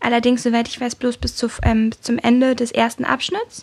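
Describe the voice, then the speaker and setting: Her pitch high and her intonation fairly even, a woman speaks at a moderate pace. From Berlin, Germany. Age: 20s. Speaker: medical student. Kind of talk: casual interview.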